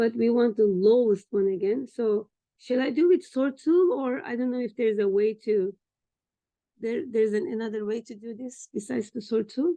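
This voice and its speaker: A woman's fairly high voice in a Turkish accent, lively in intonation, at a moderate pace. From Turkey. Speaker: trainee doing a data exercise. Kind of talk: screen-share tutorial session. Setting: video call with screen share. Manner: halting.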